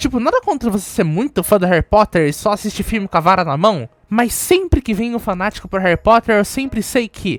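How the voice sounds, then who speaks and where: A woman speaks fairly quickly in a fairly high, animated voice with very wide pitch swings. The sound is dry and close with no echo, with music in the background. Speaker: youtuber and bookstore worker. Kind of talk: casual storytelling vlog.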